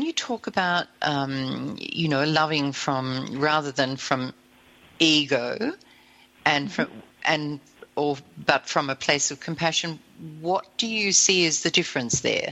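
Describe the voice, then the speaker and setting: A woman's very deep, low voice with an Australian accent, lively intonation and a fairly slow pace. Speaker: radio host. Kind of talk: casual chat.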